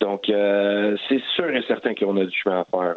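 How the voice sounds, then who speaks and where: A man talks at a fairly low pitch with a Quebec accent. His intonation is fairly even. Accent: Québécois French. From Montreal, Quebec. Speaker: professional soccer goalkeeper. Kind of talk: interview. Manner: halting, many fillers.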